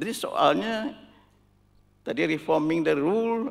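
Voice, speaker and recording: Speaking at a fairly slow pace, a man uses a high voice with lively intonation. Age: 80s+. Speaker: professor emeritus, forum panelist. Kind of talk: panel forum talk. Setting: auditorium with audience.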